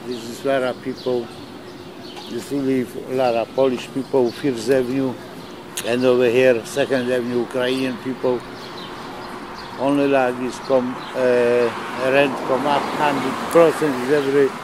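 A man at a medium pitch, monotone and flat, with long, frequent pauses and noticeable background noise. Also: moderate pace. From Poland. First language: Polish. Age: 70s. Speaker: night-shift deli worker. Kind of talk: documentary interview answer.

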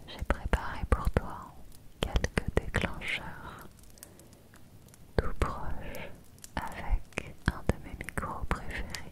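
A woman whispers very slowly, with pauses that are long and frequent. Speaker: ASMR creator. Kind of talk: ASMR whisper. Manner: intimate whisper into the ear. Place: home room. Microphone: studio mic.

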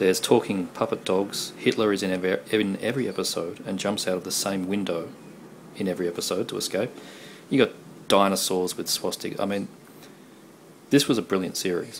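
Speaking at a fairly quick pace, a man with a low voice keeps his intonation fairly even.

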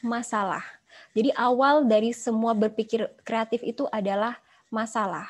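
A woman speaks in an animated tone at a fairly high pitch and moderate pace. The background is quiet. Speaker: pharmaceutical marketing executive; guest lecturer. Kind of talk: guest lecture. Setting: video call. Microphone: video call.

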